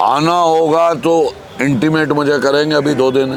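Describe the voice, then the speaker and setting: Crowd noise fills the background, and the room echo is audible. A man speaks at fairly high pitch. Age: 60s. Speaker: politician. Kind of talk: interview. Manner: animated.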